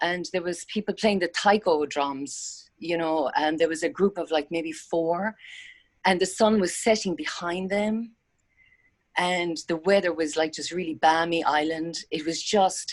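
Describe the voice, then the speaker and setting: This woman speaks with an Irish accent and ordinary pitch variation. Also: fairly low pitch for a woman, fairly slow pace. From Ireland. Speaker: meditation session participant. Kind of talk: casual sharing in group video call.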